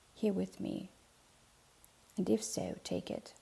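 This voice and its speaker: A woman speaks fairly slowly in a calm tone, soft-spoken throughout. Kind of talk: soft-spoken ASMR Bible reading. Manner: soft-spoken, calm.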